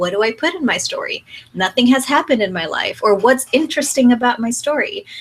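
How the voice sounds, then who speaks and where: A woman's fairly high voice shows ordinary pitch variation against noticeable background noise. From Mexico. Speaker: brand coach. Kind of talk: online workshop lecture. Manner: conversational; teacherly.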